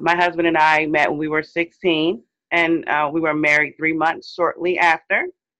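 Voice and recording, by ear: At a moderate pace, a woman speaks in a low pitch with a fairly bright tone and little pitch movement.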